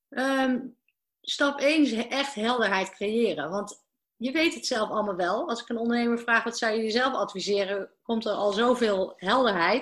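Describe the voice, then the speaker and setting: A woman with a fairly high voice talks at a moderate pace with ordinary pitch variation. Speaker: business coach. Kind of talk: interview. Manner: halting.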